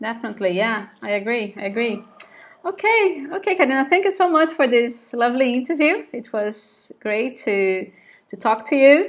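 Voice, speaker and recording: At a moderate pace, a woman speaks in a high voice with very wide pitch swings. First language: Portuguese. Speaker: English teacher, interviewer. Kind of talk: interview. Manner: halting, repeats words.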